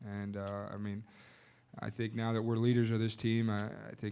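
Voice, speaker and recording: With monotone, flat intonation, a man talks at a moderate pace in a fairly low pitch. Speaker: college basketball player. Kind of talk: press conference answers. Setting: press conference.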